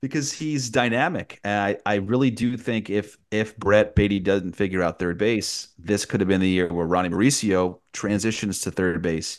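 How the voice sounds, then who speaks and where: Against a quiet background, a man with a fairly low pitch uses a normal speaking voice at a moderate pace, with ordinary pitch variation and hardly any pauses. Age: 30s. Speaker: baseball radio play-by-play announcer. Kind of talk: casual interview.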